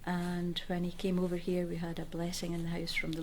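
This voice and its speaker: A woman with a Scottish accent talks very fast in a fairly low voice, with audible room echo and noticeable background noise. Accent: Scottish (Fife). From Scotland, Fife (Inverkeithing). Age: 70s. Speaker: oral history interviewee. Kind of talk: oral history interview. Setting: civic centre room.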